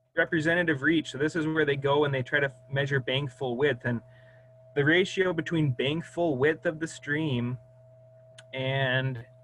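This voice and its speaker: A man with a fairly high pitch keeps his intonation fairly even as noticeable background noise carries on. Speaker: hydrologist. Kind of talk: presentation.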